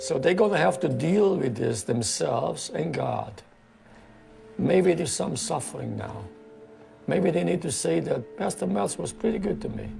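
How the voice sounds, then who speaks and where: Noticeable background noise is heard throughout. Through it, a man talks at a moderate pace. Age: 70s. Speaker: pastor. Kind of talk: interview.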